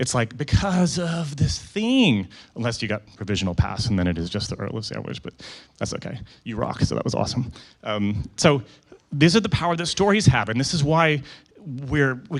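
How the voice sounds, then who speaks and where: Speaking at a fairly quick pace, a man with a slight Canadian accent uses a medium pitch with very wide pitch swings. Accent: slightly American-sounding Canadian. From Canada. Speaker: photographer and conference speaker. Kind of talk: conference talk. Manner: fast; casual, animated.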